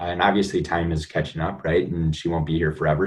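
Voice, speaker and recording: Talking at a fairly quick pace, a man with an American accent has a very deep, low pitch and a somewhat breathy sound. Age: 20s. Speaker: motivational guest, recent college graduate. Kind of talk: podcast interview.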